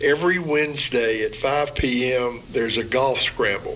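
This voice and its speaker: Noticeable background noise sits under this man's voice. He has fairly high pitch and ordinary pitch variation. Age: 70s. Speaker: military public affairs spokesman. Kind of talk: radio interview.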